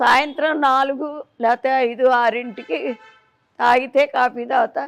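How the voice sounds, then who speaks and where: The woman's voice sits at a high pitch with ordinary pitch variation. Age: 80s+. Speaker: spiritual devotee. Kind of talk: interview.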